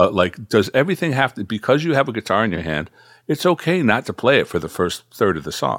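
At a very fast pace, a man with vocal fry swings his medium pitch very widely, in a very clean recording with a silent background and a dry, close sound with no echo. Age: 60s. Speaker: guitarist and music producer. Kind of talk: casual interview.

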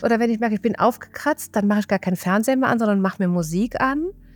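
With a Rhineland accent, a woman's voice swings very widely in pitch, recorded with a dry, close sound and no echo. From Rhineland, Germany. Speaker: mental coach and hypnotherapist. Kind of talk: casual interview.

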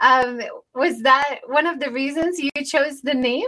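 A woman speaks in a raised, projected voice, high-pitched with a bright, sharp tone. Her pace is fairly slow. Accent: American. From United States. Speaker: podcast host, former university teacher. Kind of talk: casual interview chat. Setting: video call, livestreamed.

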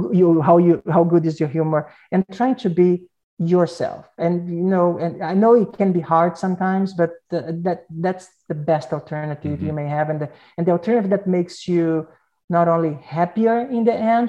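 The speaker has a Portuguese accent and a moderate pace, against a quiet background. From Brazil. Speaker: advertising agency executive. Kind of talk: interview.

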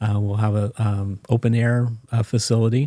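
A man with an American accent speaks in a dark, mellow tone with monotone, flat intonation, in a very clean recording over a silent background and a dry, close sound with no echo. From US Mid-Atlantic (Maryland, Washington DC area). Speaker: church finance officer. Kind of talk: interview.

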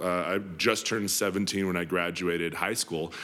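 A man is speaking. He has an American accent. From Denver, Colorado. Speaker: CEO and life coach. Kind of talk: podcast interview. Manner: animated.

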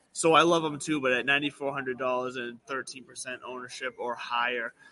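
A man talks at a medium pitch and a fairly quick pace, his intonation fairly even, with noticeable noise behind him. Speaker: podcast host. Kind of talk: casual banter about golf betting.

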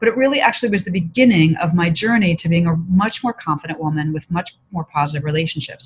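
Somewhat breathy and fairly low-pitched, a woman speaks at a fairly quick pace with lively intonation. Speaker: author and consultant. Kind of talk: interview.

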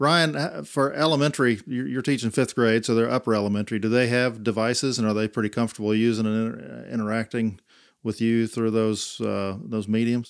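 With a plain, everyday voice, a man talks at a fairly quick pace and a medium pitch, using ordinary pitch variation and hardly any pauses, in a very clean recording with a silent background. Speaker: podcast host. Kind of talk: moderated panel interview.

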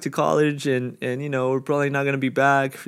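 Using a plain, everyday voice, a man speaks at a fairly quick pace with a fairly high pitch. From New York. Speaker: podcast guest. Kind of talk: casual chat.

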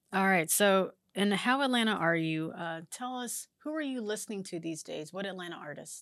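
With hardly any pauses, a woman with an unremarkable speaking voice talks at medium pitch and moderate pace with big swings in loudness, on a very clean recording with a silent background. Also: lively intonation. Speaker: podcast host. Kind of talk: interview.

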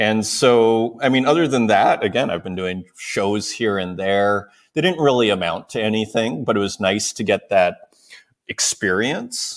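An unremarkable speaking voice from a man with a Canadian accent, fairly low-pitched, ordinary in pitch variation, at a fairly slow pace. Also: very clean recording, silent background. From Saskatoon, Canada. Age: 40s. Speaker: digital artist and show host. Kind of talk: casual interview chat.

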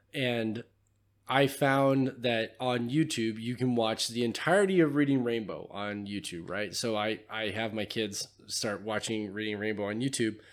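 A man with an American accent has a normal speaking voice, a medium pitch and ordinary pitch variation. He talks at a fairly slow pace on a very clean recording with a silent background. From California. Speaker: podcast host. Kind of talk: casual chat.

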